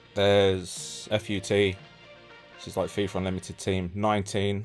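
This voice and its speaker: Music in the background behind a man speaking at a very deep, low pitch. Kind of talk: comedy parody game review, casual banter.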